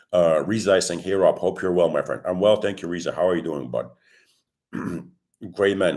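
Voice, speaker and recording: Vocal fry runs through a man's very deep, low voice. He speaks at a moderate pace with ordinary pitch variation. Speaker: crypto trading youtuber. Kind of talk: live stream chat. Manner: hesitant, many fillers.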